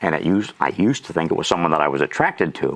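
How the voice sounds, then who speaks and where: At a very fast pace and with ordinary pitch variation, a man delivers his words. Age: 60s. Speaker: auctioneer and lay minister. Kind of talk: testimony. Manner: conversational with frequent fillers.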